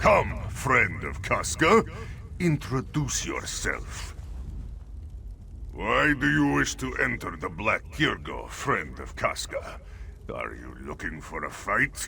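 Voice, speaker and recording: Using a put-on character voice, a man speaks at a fairly slow pace with long, frequent pauses over clear background noise. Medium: video game. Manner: smooth, wheedling.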